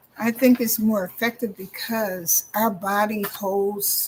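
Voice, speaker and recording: Fairly even in its intonation, the voice comes across somewhat breathy. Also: woman. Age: 60s. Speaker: minister and EFT practitioner. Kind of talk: interview.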